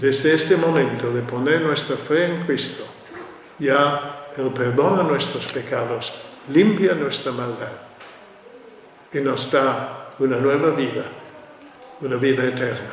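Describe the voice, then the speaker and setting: A man speaks very slowly at a fairly high pitch, with long, frequent pauses. Audible room echo and noticeable background noise surround him. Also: ordinary pitch variation. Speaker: preacher. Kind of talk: sermon. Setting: church.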